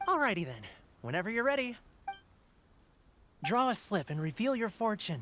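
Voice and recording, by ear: A man puts on a character voice with a high pitch, big pitch swings and a bright, sharp tone. He speaks at a moderate pace.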